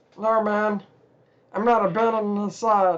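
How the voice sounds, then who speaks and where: Putting on a character voice, a man talks at a moderate pace in a high pitch with monotone, flat intonation. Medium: actual play. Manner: relishing, gloating.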